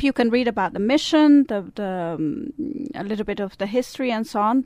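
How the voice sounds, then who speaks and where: A woman with a Swiss Italian accent speaks in a fairly high voice with lively intonation. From Italian-speaking Switzerland. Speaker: service club representative. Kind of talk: interview.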